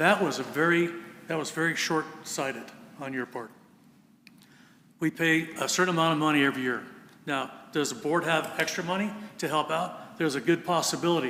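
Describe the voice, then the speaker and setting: In a room with audible echo, a man talks at a fairly quick pace and fairly high pitch, with ordinary pitch variation and long, frequent pauses. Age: 70s. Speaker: volunteer fire captain. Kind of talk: public comment at council meeting. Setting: city council meeting.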